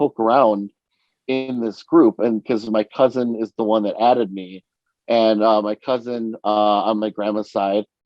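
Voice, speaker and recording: A man's medium-pitched voice at a moderate pace, with fairly even intonation and big swings in loudness. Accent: New York. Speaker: podcast co-host. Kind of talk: casual chat. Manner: halting, many fillers.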